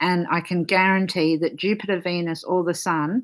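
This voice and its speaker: A woman with an Australian accent speaks at a fairly slow pace and fairly low pitch. Her intonation is fairly even, on a very clean recording with a silent background. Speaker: astrologer. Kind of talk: casual chat.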